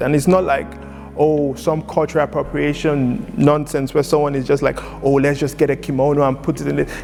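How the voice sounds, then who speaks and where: Music plays in the background as a man speaks at a fairly quick pace. His pitch is fairly high, and his intonation stays fairly even. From Lagos, Nigeria. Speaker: poet and spoken word artist. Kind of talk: interview answer.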